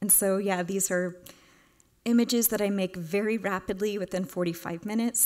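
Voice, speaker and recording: The voice moves at a moderate pace with ordinary pitch variation over a quiet background. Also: woman. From Houston, Texas. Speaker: artist. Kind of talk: lecture; Q&A answer. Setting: stage with audience. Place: hall.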